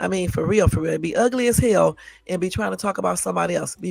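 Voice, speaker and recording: Very fast speech over music in the background. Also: man. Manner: sassy, annoyed, ranting.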